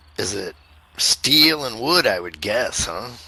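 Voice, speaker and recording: Using a put-on character voice, a man sounds raspy and speaks at a fairly slow pace. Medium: game stream. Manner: excitable, laughing.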